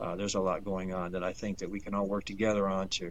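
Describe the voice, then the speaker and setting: A man is talking here. His delivery is very fast. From US Midwest, Detroit. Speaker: homesteader. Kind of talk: interview. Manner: hesitant, many fillers.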